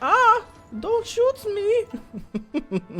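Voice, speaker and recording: An extremely high-pitched, put-on character voice speaks over faint music in the background. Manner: panicked, pleading.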